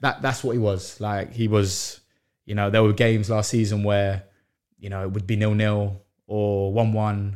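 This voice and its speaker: A man speaks at a moderate pace in a fairly low pitch, his intonation flat and monotone, on a very clean recording with a silent background. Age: 20s. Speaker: professional footballer, goalkeeper. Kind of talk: casual interview.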